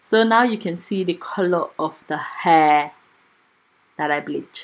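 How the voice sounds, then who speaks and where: A woman speaks with lively intonation. Her pitch is fairly low. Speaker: hair stylist and wig maker. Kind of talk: tutorial. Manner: fast.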